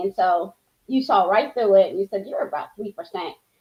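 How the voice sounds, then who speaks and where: This is a woman speaking at a medium pitch. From Uganda, moved to US as a child. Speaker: healthcare professional, coaching client. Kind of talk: interview testimony. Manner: halting, many restarts and fillers.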